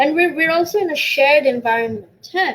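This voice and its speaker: At a fairly quick pace and high pitch, a woman speaks with very wide pitch swings over noticeable background noise. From Middle East. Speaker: DJ and community organizer. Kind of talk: casual lecture-style talk on music history. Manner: code-switching between English and Bangla; halting, with repetitions and fillers.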